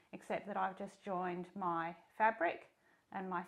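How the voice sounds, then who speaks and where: The speaker here is a woman. She talks at a fairly slow speed. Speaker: sewing tutor. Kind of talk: tutorial. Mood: warm, friendly.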